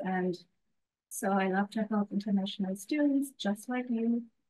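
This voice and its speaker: With a German accent, a woman speaks at a medium pitch with ordinary pitch variation. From Germany. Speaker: international student advisor. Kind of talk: webinar introduction. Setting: webinar.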